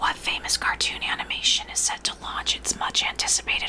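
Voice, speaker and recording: A woman's fairly quick whisper against noticeable background noise. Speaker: ASMR host. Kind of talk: 1960s radio roleplay trivia host. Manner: whispered, ASMR.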